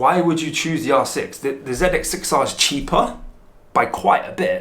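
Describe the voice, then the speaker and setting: Audible room echo surrounds a man with a London accent who speaks at a moderate pace. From London, England. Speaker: motorcycle vlogger. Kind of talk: product review vlog. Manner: casual.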